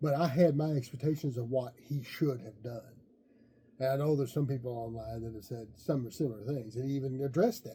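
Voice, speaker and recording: A man with a dark, mellow, somewhat breathy voice speaks at medium pitch. His pace is fairly quick, and his pitch varies in an ordinary way. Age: 60s. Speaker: wrestling podcast co-host. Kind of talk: casual chat.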